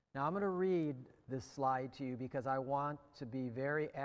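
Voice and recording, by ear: With ordinary pitch variation, this person reads aloud in a natural voice.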